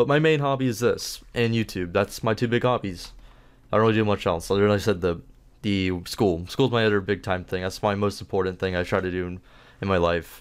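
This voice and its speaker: On a very clean recording with a silent background, a man speaks at a fairly quick pace in a fairly low voice with ordinary pitch variation. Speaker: gaming YouTuber. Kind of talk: casual Q&A monologue. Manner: fast.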